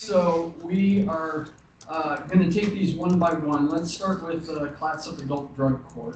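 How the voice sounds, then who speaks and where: Over noticeable background noise and audible room echo, a man speaks very slowly. His pitch is fairly high and his intonation fairly even. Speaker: commission chair. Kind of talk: meeting chairing. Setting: government commission meeting. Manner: quiet.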